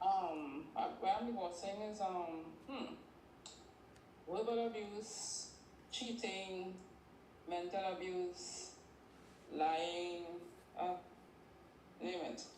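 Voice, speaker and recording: A woman with a Caribbean accent speaks at a very slow pace with long, frequent pauses, over noticeable background noise and audible room echo. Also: medium pitch for a woman, ordinary pitch variation. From Trinidad and Tobago. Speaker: caller. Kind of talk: casual chat. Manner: halting.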